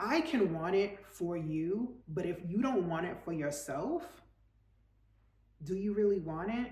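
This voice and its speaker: With an animated tone and medium pitch, a woman talks at a fairly slow pace, leaving long, frequent pauses amid audible room echo. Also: lively intonation. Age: 40s. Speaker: lifestyle coach / vlogger. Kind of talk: motivational talk to camera.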